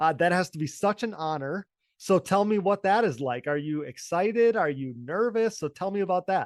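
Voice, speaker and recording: An animated man with a high pitch and lively intonation, in an Upper Midwest accent at a moderate pace, with a dry, close sound, no echo and a quiet background. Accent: Upper Midwest American. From Wisconsin. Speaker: podcast host, former ATV racer. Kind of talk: podcast interview.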